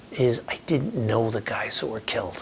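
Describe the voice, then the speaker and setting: Over noticeable background noise, a man with an American accent talks at a medium pitch. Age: 60s. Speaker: war veteran. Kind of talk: testimony.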